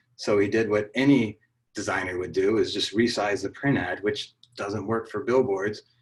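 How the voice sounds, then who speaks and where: Delivered in an American accent, the voice is somewhat breathy, at a moderate pace with fairly even intonation. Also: man, fairly low pitch for a man. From US South, New Orleans. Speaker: advertising creative director. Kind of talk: conference talk. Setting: video call.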